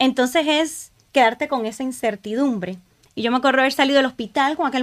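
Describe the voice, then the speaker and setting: Against a quiet background, a woman talks at a fairly quick pace with a high pitch. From Honduras. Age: 40s. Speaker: church ministry leader; podcast guest. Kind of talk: testimony. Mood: emotional, reflective personal story. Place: studio. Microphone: studio mic.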